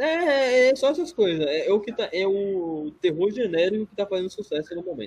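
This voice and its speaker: With very wide pitch swings and big swings in loudness, a man talks at a high pitch and a moderate pace, leaving hardly any pauses. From Brazil. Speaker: podcast co-host. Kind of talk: casual chat.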